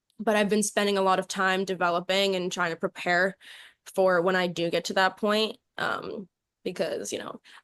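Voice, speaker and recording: In a normal speaking voice, a woman with an American accent talks at a fairly quick pace and medium pitch, her intonation fairly even, the sound dry and close with no echo against a quiet background. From New York City. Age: young. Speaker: singer and dancer. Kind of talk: interview answer.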